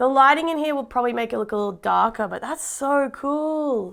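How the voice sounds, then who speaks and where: In an Australian accent, a woman speaks at a moderate pace with a high pitch, an animated tone and ordinary pitch variation. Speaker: tech reviewer. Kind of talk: unboxing video.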